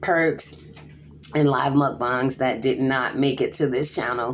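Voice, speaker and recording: With vocal fry and a very deep, low pitch, a woman speaks at a fairly slow pace. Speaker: mukbang YouTuber. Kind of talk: casual vlog talk while eating.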